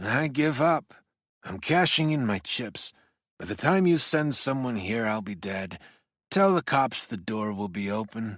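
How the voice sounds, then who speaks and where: Putting on a character voice, a man with a raspy, medium-pitched voice swings his pitch very widely at a moderate pace, recorded very cleanly against a silent background. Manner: defeated, resigned.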